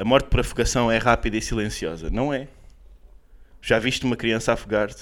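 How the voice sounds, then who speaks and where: A man's medium-pitched voice with vocal fry, ordinary pitch variation and a fairly quick pace broken by long, frequent pauses. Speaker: comedian podcast co-host. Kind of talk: casual comedic chat. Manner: animated.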